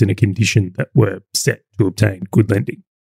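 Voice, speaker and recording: The speaker is a man. He has an Australian accent. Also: dry, close sound with no echo. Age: 30s. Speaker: business owner and podcast co-host. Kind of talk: casual chat.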